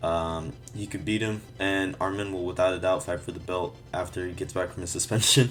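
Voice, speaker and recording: A man's very deep, low voice with fairly even intonation over music in the background. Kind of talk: casual sports commentary. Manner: casual, hesitant.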